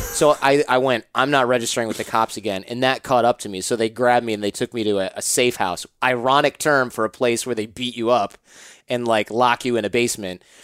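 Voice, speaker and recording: A normal speaking voice, a man at medium pitch with fairly even intonation and a fairly quick pace, in a dry, close sound with no echo. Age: 30s. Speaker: podcaster. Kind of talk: casual interview. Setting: studio.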